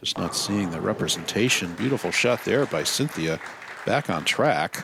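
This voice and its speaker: The voice belongs to a man speaking at moderate speed. He uses lively intonation. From Boston, Massachusetts. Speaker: bowling commentator. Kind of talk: live sports commentary. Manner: conversational.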